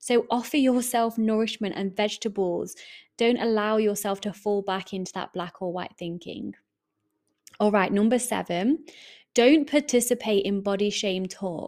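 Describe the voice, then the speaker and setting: A woman in an English accent, medium pitch, ordinary pitch variation, and a warm, upbeat tone. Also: moderate pace, very clean recording, silent background. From England. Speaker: podcast host and eating coach. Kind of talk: solo podcast monologue, casual and motivational. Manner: warm, chatty, upbeat.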